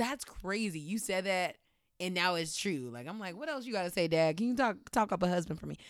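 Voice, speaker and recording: A woman's medium-pitched voice with lively intonation at a fairly quick pace, on a very clean recording with a silent background. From Washington, D.C. area. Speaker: entertainment journalist. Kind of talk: casual interview chat.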